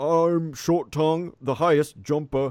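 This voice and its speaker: A man puts on a character voice, speaking at a fairly slow pace with a fairly high pitch. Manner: boastful, introducing itself.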